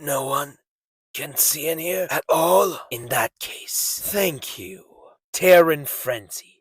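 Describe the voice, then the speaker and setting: A raspy, put-on character voice from a man, at a fairly slow pace. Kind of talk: anime dub character impression.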